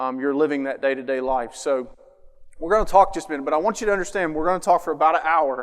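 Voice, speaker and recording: Talking at a very fast pace, a man with a fairly high pitch speaks in a strong Appalachian accent. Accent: strong Appalachian country. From southern Ohio, near Huntington, West Virginia. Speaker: mental health speaker, social worker. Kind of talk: public talk to parents. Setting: school auditorium with audience. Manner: casual, conversational with fillers.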